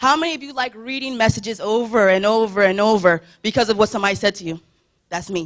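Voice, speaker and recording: A woman at a medium pitch, talking at a very fast pace with lively intonation. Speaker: church youth speaker. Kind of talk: sermon.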